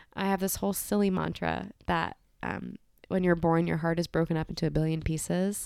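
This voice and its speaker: Fairly quick in pace, a woman talks in an unremarkable speaking voice. Her pitch is fairly low and her intonation fairly even. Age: 20s. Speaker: energy healer. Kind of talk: casual chat. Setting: in person at a kitchen table.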